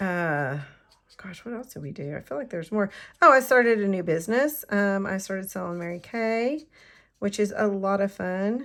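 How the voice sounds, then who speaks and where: On a very clean recording with a silent background, a woman talks in a plain, everyday voice. Her pitch is medium, her intonation lively, her pace moderate. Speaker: card-making crafter and demonstrator. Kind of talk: crafting tutorial. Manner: casual, chatty.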